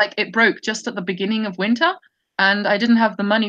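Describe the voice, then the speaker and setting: A woman speaks in a bright, sharp tone over a quiet background. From Germany, central. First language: German (trilingual). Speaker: feminist discussion show host. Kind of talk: casual chat. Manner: halting, many repetitions and fillers.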